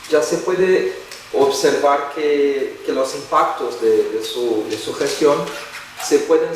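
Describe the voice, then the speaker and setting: Over noticeable background noise and audible room echo, a man speaks fairly slowly with a Brazilian accent. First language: Portuguese (speaking Spanish). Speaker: professor. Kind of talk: lecture. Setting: lecture hall with audience. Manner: halting, many repetitions.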